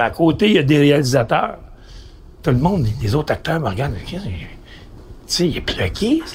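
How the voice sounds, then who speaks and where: Noticeable background noise sits behind a man with a fairly high pitch. His voice makes very wide pitch swings. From Quebec, east-end Montreal. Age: 70s. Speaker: radio host. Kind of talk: casual chat.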